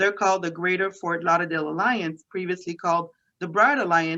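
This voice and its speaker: This bright, sharp voice carries a French Canadian accent. It moves at a fairly quick pace with ordinary pitch variation. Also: woman. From Quebec, Canada (Montreal). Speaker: economic development official. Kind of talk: interview.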